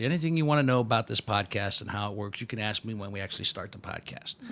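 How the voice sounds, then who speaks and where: A man rushes along at a very fast pace, his pitch varying in an ordinary way, with noticeable background noise around him. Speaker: podcast host. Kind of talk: casual podcast conversation.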